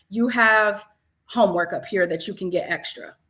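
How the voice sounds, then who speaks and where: A woman speaks loudly and at a fairly quick pace, with a bright, sharp tone and ordinary pitch variation. The recording is very clean with a silent background. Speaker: math educator and leader. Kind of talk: interview. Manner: animated.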